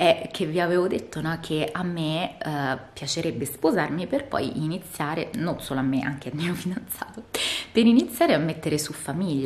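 With lively intonation and a fairly low pitch, a woman talks at a moderate pace. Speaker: vlogger. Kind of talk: casual vlog monologue. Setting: outdoors. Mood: relaxed, chatty. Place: home room. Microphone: phone near.

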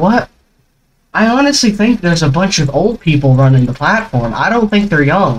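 Very wide pitch swings from a man, somewhat breathy, at a fairly quick pace. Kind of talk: angry rant. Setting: screen-recorded video commentary. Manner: seething, sarcastic, indignant; repetitive, stammering, spluttering mid-sentence.

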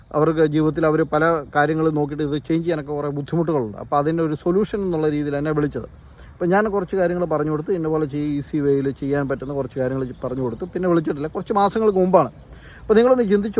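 This man has a plain, everyday voice, pitched fairly high. His intonation is lively. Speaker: vlogger. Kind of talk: opinion vlog monologue.

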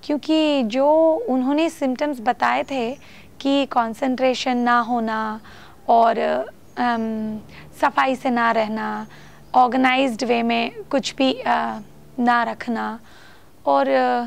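At a very slow pace, a woman with a non-native accent speaks in a high pitch. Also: ordinary pitch variation. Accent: non-native Hindi. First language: not Hindi (speaking Hindi). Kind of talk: talk to camera; casual talk to camera. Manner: halting, many fillers. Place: home room.

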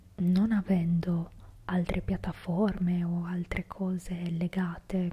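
A woman's fairly low, somewhat breathy voice with a dark, mellow tone, a monotone, flat intonation and a very slow pace. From Italy. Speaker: ASMR creator. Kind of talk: ASMR whispered talk to camera. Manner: whispered, soft-spoken. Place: home room. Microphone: studio mic.

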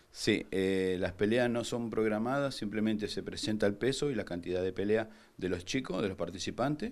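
In a quiet background, a man talks at a moderate pace and fairly low pitch with ordinary pitch variation. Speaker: MMA instructor. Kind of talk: interview. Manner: halting, many fillers.

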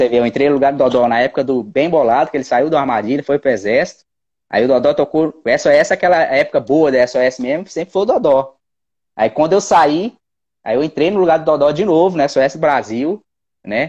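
A man with a fairly high voice talks fairly quickly, his pitch varying in an ordinary way. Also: quiet background. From Minas Gerais, Belo Horizonte. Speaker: percussionist; guest. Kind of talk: casual chat. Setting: video call. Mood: relaxed, smiling. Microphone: earbuds.

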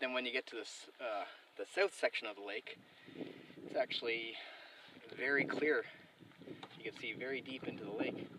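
A man talks at a moderate pace with long, frequent pauses and big swings in loudness, in a dry sound with no echo and noticeable background noise. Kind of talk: casual vlog narration. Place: boat. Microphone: camera far.

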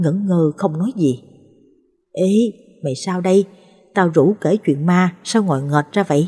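A dark, mellow, somewhat breathy tone with lively intonation at a fairly slow pace. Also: woman. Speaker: story narrator. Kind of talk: reading aloud a ghost story.

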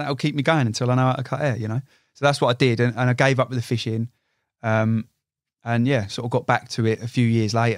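Against a quiet background, a man speaks in a monotone, flat intonation, the sound dry with no echo. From Hertfordshire, England. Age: 20s. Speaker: carp angler and artist. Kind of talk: casual chat. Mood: reflective. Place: studio. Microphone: studio mic.

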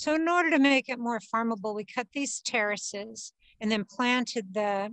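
A woman speaks at a moderate pace with ordinary pitch variation, the sound dry with no echo and the background quiet. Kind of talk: interview answer. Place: garden.

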